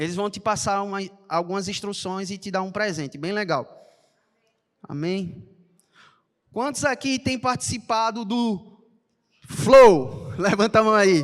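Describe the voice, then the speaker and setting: The speaker moves at a fairly slow pace. Long pauses come often. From Brazil, Recife (Pernambuco). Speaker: church announcer. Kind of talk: church announcements. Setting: church service. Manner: animated.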